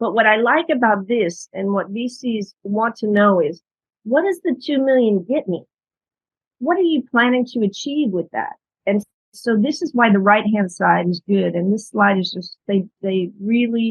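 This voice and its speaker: Her voice is fairly high and somewhat breathy. This woman talks at a moderate pace with lively intonation. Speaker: startup investment specialist. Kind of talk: webinar presentation. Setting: video webinar.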